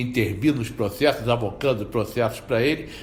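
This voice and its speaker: A man talks in a somewhat breathy voice. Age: 60s. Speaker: federal prosecutor. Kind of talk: interview testimony. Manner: halting.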